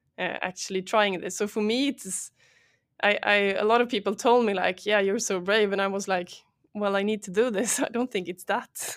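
A woman's medium-pitched voice with a Swedish accent, very clean recording and silent background. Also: fairly even intonation, moderate pace. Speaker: startup founder and CEO. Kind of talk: interview. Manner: hesitant, many fillers.

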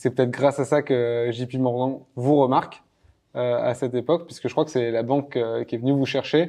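His voice carries a dark, mellow tone. The man speaks in a monotone, with flat intonation. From France. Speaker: podcast host, startup cofounder. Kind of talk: interview. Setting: office in Paris. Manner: hesitant, filler words.

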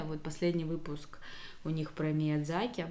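A woman speaks in a very deep, low pitch for a woman. Audible room echo surrounds her voice. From Russia, Rostov region (Belaya Kalitva). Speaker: podcast co-host. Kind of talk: casual interview chat.

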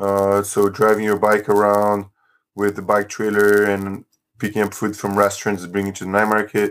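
On a very clean recording with a silent background, a man with a non-native accent speaks at a fairly low pitch in a monotone, flat intonation. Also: moderate pace. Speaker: economics teacher and food-sharing organizer. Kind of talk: interview.

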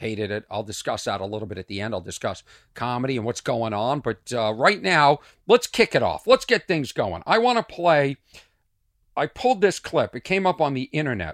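An animated man talks at a fairly quick pace with a Boston accent and a medium pitch. His pitch swings very widely and his loudness swings a lot, on a very clean, dry, close recording with no echo and a silent background. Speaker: comedian. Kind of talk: casual monologue, comedic storytelling. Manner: animated, rambling.

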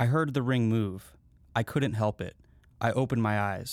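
The natural reading voice carries pitch that shifts in an ordinary way.

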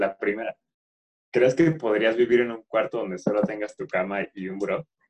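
In a Mexican accent, a man with a medium-pitched voice speaks at a moderate pace with ordinary pitch variation and big swings in loudness, in dry, close sound with no echo. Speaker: podcast co-host. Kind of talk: casual chat.

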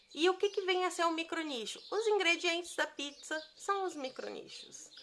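A woman uses a raised, projected voice and speaks at a fairly slow pace. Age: 30s. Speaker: digital business coach. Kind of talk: podcast monologue from a live stream. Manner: conversational, with fillers.

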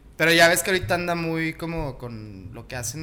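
A man's bright, sharp voice with audible room echo. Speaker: podcast co-host. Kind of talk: casual chat.

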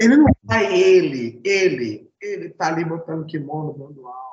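A man is speaking. His pitch is high. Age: 40s. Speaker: jiu-jitsu instructor. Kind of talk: casual chat.

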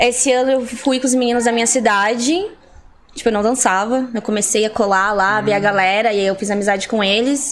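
A woman speaks at a fairly quick pace with a fairly high pitch and fairly even intonation. Noticeable background noise is present. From Curitiba metro area, southern Brazil. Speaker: breakdancer. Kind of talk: casual chat.

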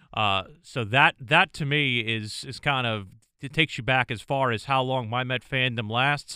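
A man with a normal speaking voice talks at a moderate pace, his medium pitch showing ordinary pitch variation. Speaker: sports broadcaster and podcast co-host. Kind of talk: casual sports chat.

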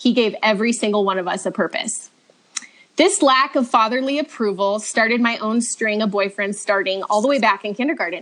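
A woman speaks at a fairly quick pace in a Californian accent. Her pitch is fairly high, with ordinary variation. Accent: Californian American. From Southern California (Redlands). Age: 30s. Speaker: stay-at-home mom sharing faith testimony. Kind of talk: testimony.

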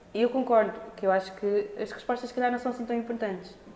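The intonation stays monotone and flat over noticeable background noise. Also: woman. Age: 20s. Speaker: dancer and performer. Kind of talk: casual chat. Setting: studio. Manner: halting.

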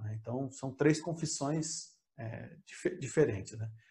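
Somewhat breathy, a man's voice unfolds at a fairly slow pace. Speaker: theologian and author. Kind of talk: interview conversation. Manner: calm, relaxed; hesitant, many fillers.

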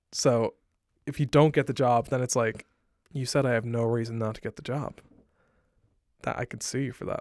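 A man with an Irish accent, monotone and flat, at a fairly quick pace broken by long, frequent pauses, in a dry, close sound with no echo and a very clean recording with a silent background. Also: medium pitch for a man. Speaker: gaming podcast co-host. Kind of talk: casual chat.

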